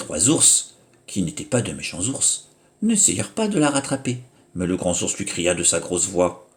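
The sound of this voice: What we hear is an unforced reading voice.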